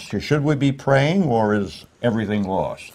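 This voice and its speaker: Speaking with an American accent, this man has a voice that is somewhat breathy. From New York City. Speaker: interviewer. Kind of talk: interview.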